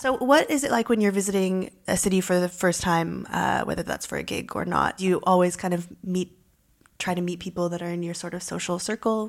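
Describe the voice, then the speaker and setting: A woman's normal speaking voice with a Canadian accent, medium in pitch, with ordinary pitch variation at a fairly quick pace. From Canada, Toronto. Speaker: journalist and podcast host. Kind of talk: interview.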